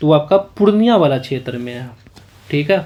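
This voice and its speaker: With noticeable noise in the background, a man's fairly high-pitched voice comes through. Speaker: exam prep teacher. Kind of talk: tutorial. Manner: slow.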